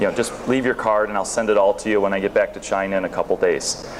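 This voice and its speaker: With noticeable background noise behind him, a man talks in an American accent at a fairly low pitch. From northern US near Canada. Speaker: sourcing company owner and conference speaker. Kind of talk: conference presentation. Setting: stage with audience. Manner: casual, with many fillers and repetitions.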